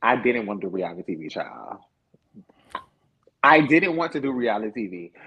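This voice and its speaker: With an animated tone, a man of medium pitch talks at a moderate pace using ordinary pitch variation. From Florida (Lake City). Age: 20s. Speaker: reality TV cast member. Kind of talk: interview. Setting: livestream.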